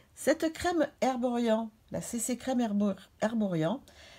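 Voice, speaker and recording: A woman speaks in a dark, mellow tone with lively intonation. The background is quiet. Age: 50s. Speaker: beauty and fashion YouTuber; beauty vlogger. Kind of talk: beauty tutorial vlog. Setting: hotel room. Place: home room. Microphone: phone near.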